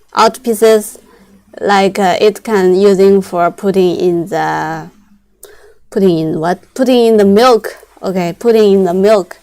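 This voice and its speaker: With a Chinese accent, a woman talks at a fairly slow pace in a medium pitch, her tone dark and mellow and her intonation fairly even. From China. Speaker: machinery salesperson. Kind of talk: live-stream sales pitch. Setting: live broadcast. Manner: halting.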